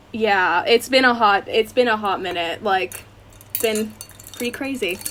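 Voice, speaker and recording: This woman's fairly high voice moves fairly slowly, its pitch varying in an ordinary way. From Canada. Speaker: university student, actress. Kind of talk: casual chat.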